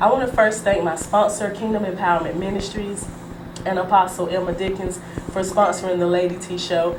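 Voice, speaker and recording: The speech moves at a fairly quick pace. Audible room echo and noticeable background noise come through. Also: woman. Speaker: talk show host. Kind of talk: TV talk show interview. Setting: TV studio. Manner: animated.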